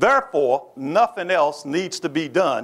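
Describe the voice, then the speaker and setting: The intonation is lively. It comes from a man talking. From Kentucky (Lexington). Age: 60s. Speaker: history professor and university president. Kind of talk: lecture. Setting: stage with audience. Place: hall. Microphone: lapel.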